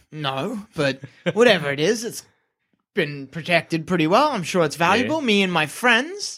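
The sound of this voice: A gruff put-on character voice at a middle pitch, speaking at a moderate pace.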